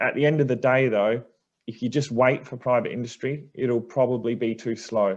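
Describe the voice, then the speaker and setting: A man speaks with an Australian accent at a moderate pace. His intonation is fairly even, and the background is quiet. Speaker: energy industry director. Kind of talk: panel Q&A answer.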